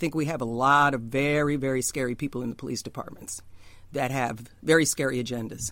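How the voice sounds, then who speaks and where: At a fairly quick pace, a woman with an American accent speaks in a very deep, low pitch. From New York, Queens. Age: 60s. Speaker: jazz singer. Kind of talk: casual chat. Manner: animated.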